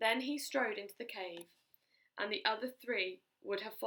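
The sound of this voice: Pitch moves in an ordinary way through this unforced reading. Behind it, things are quiet.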